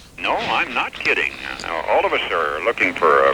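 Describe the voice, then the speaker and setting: Noticeable background noise is present throughout. Over it, a man speaks at a moderate pace. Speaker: famous radio newscaster and broadcaster. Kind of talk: radio interview answer.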